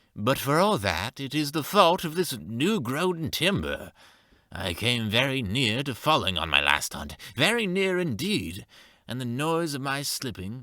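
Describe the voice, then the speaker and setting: On a very clean recording with a silent background, a man puts on a character voice at a medium pitch and a moderate pace, swinging very widely in pitch. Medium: read story. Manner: slow, unhurried.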